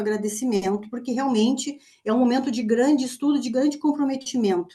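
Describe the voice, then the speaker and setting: A moderate pace and ordinary pitch variation in a woman's unremarkable speaking voice. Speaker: university lecturer. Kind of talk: online presentation.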